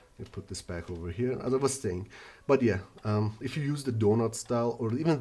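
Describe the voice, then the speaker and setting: This man talks at a very fast pace with a non-native accent. His medium pitch carries lively intonation. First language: not English. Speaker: earbud reviewer. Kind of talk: product review. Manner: halting, many fillers.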